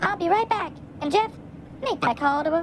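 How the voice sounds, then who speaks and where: A woman puts on a squeaky character voice with extremely high pitch and lively intonation, talking at a fairly quick pace. Background noise is clearly audible. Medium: short film. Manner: wry, brisk.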